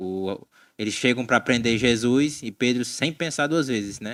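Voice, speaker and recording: Recorded very cleanly with a silent background, a man with a Cearense accent speaks at a medium pitch with ordinary pitch variation. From Ceará, northeastern Brazil. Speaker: Bible study podcast co-host. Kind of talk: casual Bible discussion.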